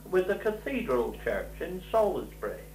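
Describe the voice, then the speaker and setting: Audible room echo surrounds a man as he talks. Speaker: documentary narrator. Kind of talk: documentary narration. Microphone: old recording.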